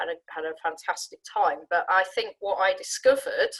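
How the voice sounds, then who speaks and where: At a moderate pace, the speaker uses a southern English accent in a dry, close sound with no echo. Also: woman. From Sussex, southern England. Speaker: management consultant, career panelist. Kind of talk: career talk on a webinar panel. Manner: conversational with frequent fillers and restarts.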